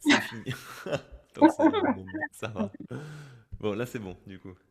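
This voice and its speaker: A man speaks at a very slow pace, with big swings in loudness. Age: 30s. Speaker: singer-songwriter. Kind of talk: casual chat. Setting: video call.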